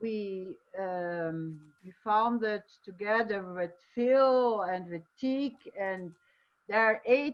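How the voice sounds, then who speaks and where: A woman with a Portuguese accent speaks with lively intonation. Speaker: festival director. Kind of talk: online panel discussion. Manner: halting.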